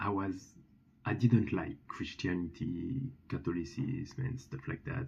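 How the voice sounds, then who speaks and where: A man with a French accent speaks fairly slowly at a fairly low pitch, showing vocal fry and very wide pitch swings. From France. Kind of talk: testimony. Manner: halting, many fillers and restarts.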